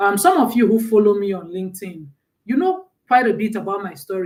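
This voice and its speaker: A woman speaks in a Nigerian accent at a very fast pace. Her pitch is medium, with ordinary variation. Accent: Nigerian accent, held on to. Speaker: mentor and personal branding speaker. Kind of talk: live stream talk. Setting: live stream.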